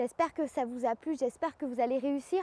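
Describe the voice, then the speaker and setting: A woman speaks at a moderate pace with fairly even intonation. The sound is dry and close, with no echo. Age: young. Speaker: yoga teacher. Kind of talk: yoga class instruction. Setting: outdoors.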